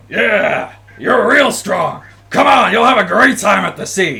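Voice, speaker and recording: Putting on a character voice, a man sounds gruff and high-pitched while talking at a fairly slow pace. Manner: loud, boisterous.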